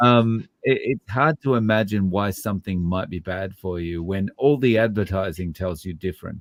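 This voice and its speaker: With an Australian accent, a man talks at a moderate pace and a fairly low pitch, with ordinary pitch variation and hardly any pauses. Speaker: low carb YouTuber. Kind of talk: casual chat.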